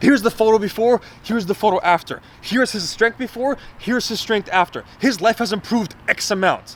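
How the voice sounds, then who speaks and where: Shouting loudly over noticeable background noise, a man with a high pitch talks at a fairly quick pace with ordinary pitch variation. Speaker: fitness vlogger and coach. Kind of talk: motivational rant vlog. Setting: alone, self-recorded vlog. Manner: loud, yelling; animated.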